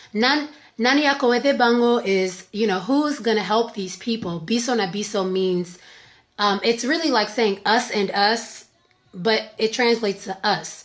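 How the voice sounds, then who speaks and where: A woman with an American accent speaks at a fairly slow pace. Her pitch is fairly high, with ordinary variation. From Maryland, US (Congolese family). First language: Lingala. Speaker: singer. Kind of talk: casual interview chat. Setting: live video stream.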